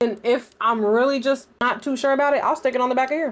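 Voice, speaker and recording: Pitch varies in an ordinary way as the speech moves fairly quickly. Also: woman. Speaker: lifestyle vlogger and gear reviewer. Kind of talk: product review. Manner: loud; casual, fast.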